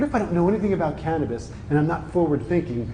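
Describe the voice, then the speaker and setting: In an American accent, a man speaks at a fairly quick pace with a fairly high pitch and lively intonation, amid audible room echo. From New Jersey. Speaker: lawyer and cannabis industry speaker. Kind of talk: conference talk. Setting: conference room with audience. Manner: animated, conversational.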